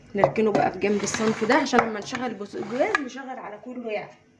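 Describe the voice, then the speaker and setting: Noticeable background noise surrounds a woman's fairly high voice. She speaks at a moderate pace with lively intonation. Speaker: home cooking vlogger, mother. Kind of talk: cooking tutorial. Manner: lowered voice at times.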